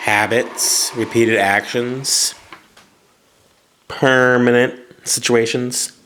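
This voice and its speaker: Long, frequent pauses break up a man's very slow, monotone delivery with flat intonation. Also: medium pitch for a man. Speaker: English teacher. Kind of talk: grammar lesson. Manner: casual.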